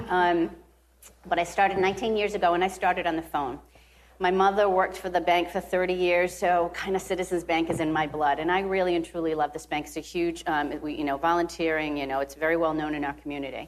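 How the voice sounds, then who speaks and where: This woman speaks with a Rhode Island accent at a very fast pace. Her voice is fairly low and her intonation fairly even. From US Northeast (Rhode Island). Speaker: bank executive. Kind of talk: interview. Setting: live at a conference.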